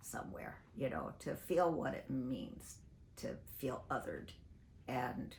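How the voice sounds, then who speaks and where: A woman's very deep, low voice with vocal fry, at a fairly slow pace, with audible room echo. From US Pacific Northwest, Portland, Oregon. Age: 80s+. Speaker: singer and activist. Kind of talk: interview. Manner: halting.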